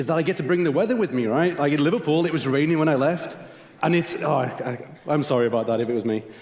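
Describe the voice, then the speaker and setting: Noticeable background noise and audible room echo sit behind a man with a British accent. He speaks at a very fast pace, his fairly high pitch showing ordinary pitch variation. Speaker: conference host. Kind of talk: conference announcements. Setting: stage with audience.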